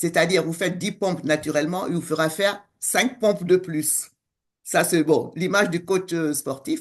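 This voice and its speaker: This woman has an unremarkable speaking voice, fairly low in pitch with ordinary pitch variation. She talks at a moderate pace against a quiet background. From West Africa (Senegal and Togo). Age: 60s. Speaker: coach and co-author. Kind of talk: interview conversation.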